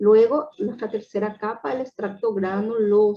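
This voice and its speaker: A woman at medium pitch speaks at a fairly slow pace in a plain, everyday voice. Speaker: medical lecturer. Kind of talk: lecture.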